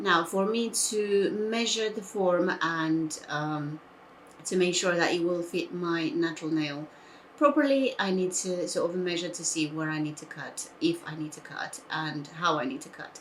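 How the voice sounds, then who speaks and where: Audible room echo surrounds a woman with a fairly low pitch and ordinary pitch variation. Her loudness swings widely, and her pace is fairly slow. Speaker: nail art youtuber. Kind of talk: tutorial.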